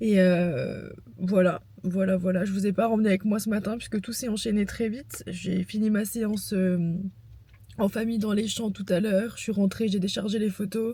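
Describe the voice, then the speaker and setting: Somewhat breathy, a woman talks at a moderate pace and medium pitch with monotone, flat intonation. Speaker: vlogger and photographer. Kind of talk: casual vlog.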